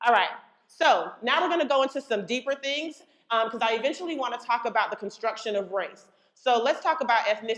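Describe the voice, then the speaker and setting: A woman speaks in a high voice with an animated tone. Her pace is fairly quick and her intonation lively. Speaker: education speaker / trainer. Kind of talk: workshop presentation.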